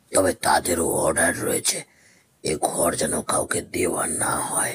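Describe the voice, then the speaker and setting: This man's delivery moves at a moderate pace. He uses a raspy, put-on character voice. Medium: audio drama. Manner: deferential, low and guarded.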